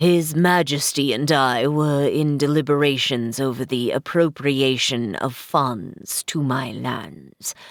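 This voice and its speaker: A woman puts on a character voice, speaking fairly slowly at a very deep, low pitch. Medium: read story. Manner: formal, haughty.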